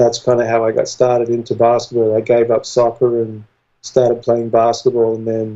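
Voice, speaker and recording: Dark and mellow, this man's voice holds a medium pitch. He speaks in a monotone, flat intonation with an American accent. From Australia, small town south of Sydney. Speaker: strength and conditioning coach. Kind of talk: interview.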